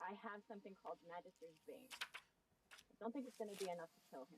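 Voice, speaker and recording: A woman talks at a fairly quick pace, somewhat breathy, with big swings in loudness. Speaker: tabletop roleplaying player. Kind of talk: tabletop roleplaying game session.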